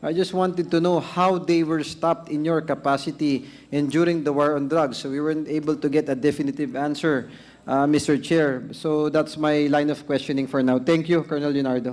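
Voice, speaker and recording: In an unremarkable speaking voice, a man talks at a fairly high pitch and a moderate pace with fairly even intonation. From Philippines. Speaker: lawmaker questioning a witness; witness. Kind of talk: formal hearing interrogation. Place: hall. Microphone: podium.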